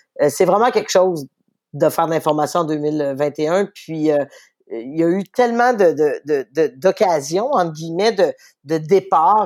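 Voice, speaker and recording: Fairly low female speech on a very clean recording, background silent. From Quebec City, Quebec. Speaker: newspaper editor-in-chief. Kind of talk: interview.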